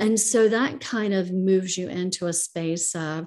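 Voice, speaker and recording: Using a plain, everyday voice, a woman talks at a medium pitch whose rise and fall is normal. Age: 50s. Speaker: real estate investor. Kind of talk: interview.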